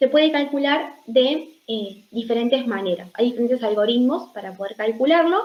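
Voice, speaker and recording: This woman's voice is high-pitched. Its pitch varies in an ordinary way. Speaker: doctoral student presenter. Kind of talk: academic seminar presentation. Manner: hesitant, many fillers.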